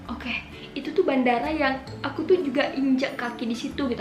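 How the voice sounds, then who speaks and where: A quiet woman talks at a fairly quick pace with ordinary pitch variation. Music plays in the background, and room echo is audible. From Indonesia, Pekanbaru (Riau). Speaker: vlogger. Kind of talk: casual vlog chat. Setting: bedroom at night. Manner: fast, excited; quiet, low volume.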